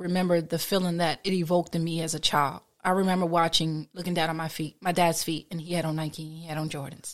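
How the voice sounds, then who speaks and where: On a very clean recording with a silent background, a woman with an American accent talks at a fairly quick pace, her loudness swinging widely while her intonation stays fairly even. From Trenton, New Jersey. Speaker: sneaker artist. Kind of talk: casual interview.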